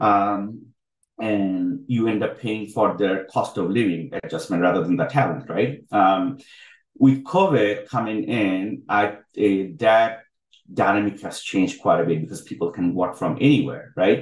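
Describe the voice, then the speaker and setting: This man has a plain, everyday voice at a fairly low pitch with ordinary pitch variation. He speaks at a fairly slow pace. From Bangladesh (Dhaka), moved to US as teen. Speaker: healthtech co-founder and CTO. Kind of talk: interview webinar.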